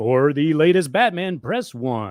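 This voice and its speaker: A man puts on a character voice at a fairly high pitch, with very wide pitch swings. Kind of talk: formal automated menu prompt.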